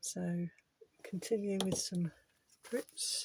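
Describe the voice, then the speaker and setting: A soft-spoken woman is whispering. The sound is dry and close, with no echo. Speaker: art channel creator. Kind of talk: casual art tutorial vlog. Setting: home art shed. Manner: soft-spoken, near whisper; halting, thinking aloud.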